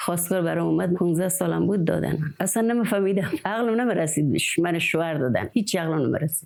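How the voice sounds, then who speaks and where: A woman at a fairly quick pace, with a fairly low pitch and lively intonation. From rural Khorasan, Iran. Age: 60s. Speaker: village woman, dotar player. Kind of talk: interview testimony.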